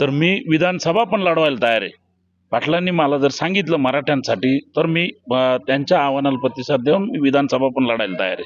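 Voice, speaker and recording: With an ordinary speaking voice, a man talks at a fairly high pitch and with lively intonation. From Nashik district, Maharashtra. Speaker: aspiring election candidate. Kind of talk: street interview.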